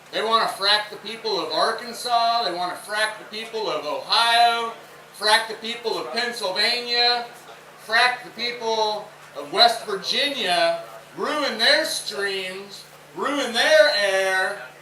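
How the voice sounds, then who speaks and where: A man's high-pitched voice, very slow, with ordinary pitch variation, big swings in loudness and noticeable background noise. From Memphis, Tennessee. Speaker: environmental conservation coordinator. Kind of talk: rally speech. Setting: outdoors. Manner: low-key.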